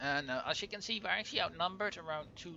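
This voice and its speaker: A man with a Dutch accent talks at a very fast pace in a fairly high pitch with a bright, sharp tone. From Netherlands, Overijssel. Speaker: gaming YouTuber. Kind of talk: let's play commentary. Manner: halting, many fillers.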